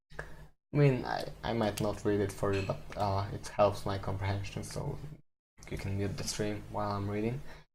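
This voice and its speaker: A man speaks with a non-native accent, with audible room echo. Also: moderate pace. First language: not English. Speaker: live-streaming programmer. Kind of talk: casual live-stream commentary while coding. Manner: halting, many fillers and repeats.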